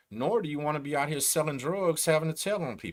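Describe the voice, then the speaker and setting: With a Texan accent and vocal fry, the voice comes through a very clean recording with a silent background. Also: man. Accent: Texan, slow drawl. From Texas. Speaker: YouTube host, former gang member and prisoner. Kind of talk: livestream commentary. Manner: casual, conversational.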